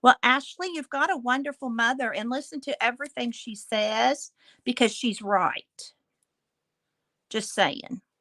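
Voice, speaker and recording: A woman with an American accent has a high pitch and a bright, sharp tone. The recording is very clean with a silent background and a dry, close sound with no echo. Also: ordinary pitch variation, fairly slow pace. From Illinois, US Midwest. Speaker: crafting livestream host. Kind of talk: casual livestream chat with viewers. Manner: chatty.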